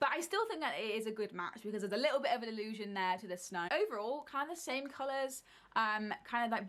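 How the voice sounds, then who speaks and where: With a British accent, a woman speaks in a fairly high pitch and an animated tone, her intonation lively, moving at a fairly quick pace with hardly any pauses. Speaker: book video creator. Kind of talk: casual monologue.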